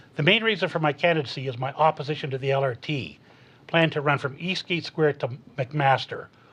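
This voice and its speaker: This man has a normal speaking voice and a fairly high pitch. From Canada, Hamilton Ontario. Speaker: municipal election candidate. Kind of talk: prepared opening statement in debate.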